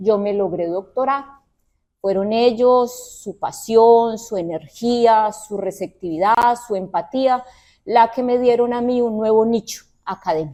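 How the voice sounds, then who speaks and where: A woman's fairly high voice with a dark, mellow tone and a Colombian accent, at a very slow pace with ordinary pitch variation, over a quiet background. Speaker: university professor and researcher. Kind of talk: research presentation. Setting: auditorium event also streamed on video call.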